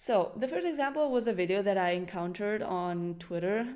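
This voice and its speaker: In a non-native accent, a woman speaks at medium pitch with a dark, mellow tone and lively intonation, with audible room echo. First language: not English. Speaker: animal channel presenter. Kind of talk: educational presentation.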